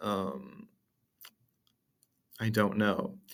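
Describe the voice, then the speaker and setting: On a very clean recording with a silent background, a man speaks at fairly low pitch. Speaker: student podcaster. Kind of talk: casual monologue podcast. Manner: halting, hesitant with fillers.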